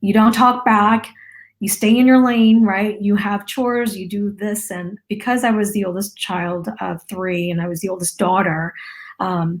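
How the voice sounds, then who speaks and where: Very clean and silent in the background, this recording has a woman speaking at a medium pitch, somewhat breathily. Her pace is fairly slow and her intonation fairly even. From US, Lao immigrant family. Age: 40s. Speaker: marketing business owner sharing personal story. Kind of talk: interview testimony.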